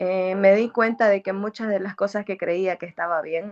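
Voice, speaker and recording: Recorded with a dry, close sound and no echo, a woman speaks at a fairly slow pace, her medium pitch showing ordinary variation. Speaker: music graduate, singer. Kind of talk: interview. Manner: halting.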